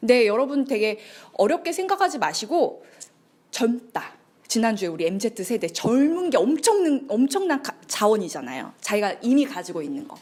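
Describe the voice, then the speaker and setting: Very wide pitch swings mark this moderately paced speech, heard over noticeable background noise. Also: woman. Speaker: lecturer. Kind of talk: lecture.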